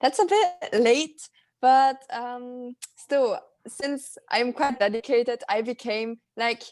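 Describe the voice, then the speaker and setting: A woman's high voice at a very slow pace with ordinary pitch variation, in a dry, close sound with no echo. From Italy, German-speaking minority (South Tyrol). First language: German. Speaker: polyglot and professional athlete. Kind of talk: interview.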